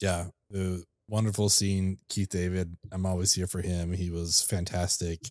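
In a very clean recording with a silent background and a dry, close sound with no echo, a man with a very deep, low pitch speaks in a flat monotone at a fairly slow pace. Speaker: film podcast co-host. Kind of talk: casual chat.

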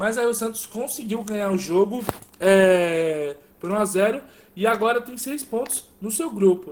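Noticeable background noise accompanies speech at a fairly slow pace. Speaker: football podcast co-host. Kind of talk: casual chat.

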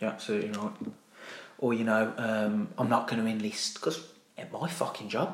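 With a Brummie accent, a man speaks at a fairly quick pace but leaves long, frequent pauses. Noticeable background noise and audible room echo surround him. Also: medium pitch for a man, ordinary pitch variation. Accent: Brummie (Birmingham). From Birmingham, England. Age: 30s. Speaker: army veteran. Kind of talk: casual chat. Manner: animated.

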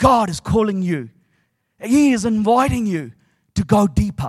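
With a warm tone and lively intonation, a man speaks in a high voice at a fairly slow pace on a very clean recording with a silent background. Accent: New Zealand. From New Zealand. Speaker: preacher. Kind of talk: sermon. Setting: stage with audience. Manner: animated; warm, humorous and engaging, with a call-and-response style.

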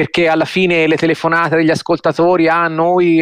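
The recording is dry and close, with no echo. A man speaks in a high voice. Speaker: newspaper journalist commentator. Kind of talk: radio commentary. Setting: studio.

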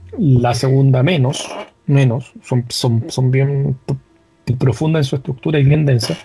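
At a fairly slow pace, a man with a Chilean accent speaks at a medium pitch with ordinary pitch variation. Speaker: podcast co-host. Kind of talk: casual chat.

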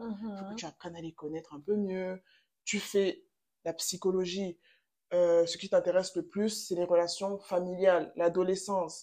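Her pitch is medium, and she uses a normal speaking voice. The woman keeps a moderate pace with fairly even intonation. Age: 20s. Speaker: psychology graduate. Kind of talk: casual chat.

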